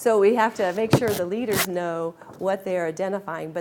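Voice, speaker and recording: A woman's fairly even intonation over noticeable background noise. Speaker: garden club leader giving a talk. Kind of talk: lunch talk presentation. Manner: fast; hesitant fillers.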